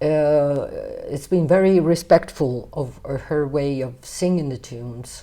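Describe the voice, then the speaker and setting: Her pitch very deep and low, a woman talks at a very slow pace with lively intonation. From Naples, Italy. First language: Neapolitan/Italian. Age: 50s. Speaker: jazz singer. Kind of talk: interview. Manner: hesitant, with fillers.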